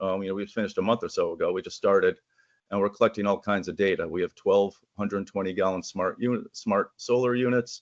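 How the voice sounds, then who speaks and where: Very fast speech comes through with a dry, close sound with no echo over a quiet background. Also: man. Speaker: manufacturer representative. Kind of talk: presentation. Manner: halting, many fillers.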